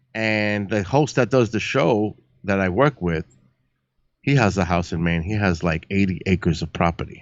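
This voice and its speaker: A man speaks with a New York accent at a moderate pace. His pitch varies in an ordinary way. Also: fairly low pitch for a man. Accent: Bronx New York. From New York City, the Bronx. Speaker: live-stream astronomy host and paranormal show producer. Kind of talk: casual chat. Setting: live stream.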